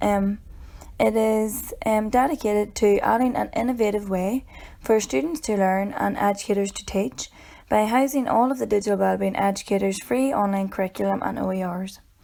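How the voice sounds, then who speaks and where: The voice has a dark, mellow tone in a Northern Irish accent, with ordinary pitch variation at a moderate pace. The recording is very clean, with a silent background. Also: woman, medium pitch for a woman. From Northern Ireland. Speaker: educator. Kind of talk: tutorial. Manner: halting, many filler ums.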